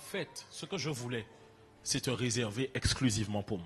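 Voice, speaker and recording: A man's somewhat breathy, animated voice at a moderate pace. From French Antilles. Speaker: preacher. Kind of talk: sermon.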